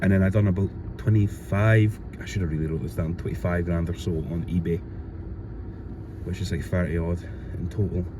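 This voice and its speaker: Mumbling in a Glasgow accent with a very deep, low pitch and ordinary pitch variation, a man talks at a fairly quick pace with long, frequent pauses over noticeable background noise. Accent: Scottish (Glasgow area). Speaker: reseller vlogger. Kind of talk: casual vlog.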